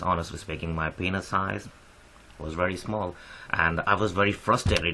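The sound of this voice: Speaking at a moderate pace, the man has a low pitch and a bright, sharp tone.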